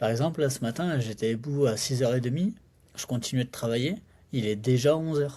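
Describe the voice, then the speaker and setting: Somewhat breathy, with a dark, mellow tone, a man speaks at medium pitch. His pace is fairly quick, and his pitch varies in an ordinary way. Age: 30s. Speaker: entrepreneur and sales expert. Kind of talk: casual podcast conversation. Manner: casual, many fillers.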